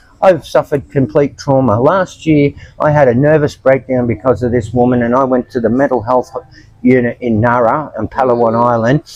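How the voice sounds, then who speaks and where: This voice has an Australian accent and ordinary pitch variation. The pace is fairly quick. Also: man, medium pitch for a man. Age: 70s. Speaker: homeless expat. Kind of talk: interview testimony. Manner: halting.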